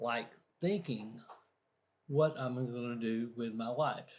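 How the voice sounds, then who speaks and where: The voice is somewhat breathy, moving at a very slow pace with ordinary pitch variation. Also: man. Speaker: motivational speaker. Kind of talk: interview. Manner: halting, stutters on some words.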